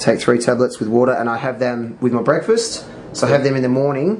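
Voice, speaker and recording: There is light background noise as a man speaks with ordinary pitch variation. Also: fairly quick pace. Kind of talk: casual explanation to a friend. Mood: calm, matter-of-fact. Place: kitchen. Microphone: camera far.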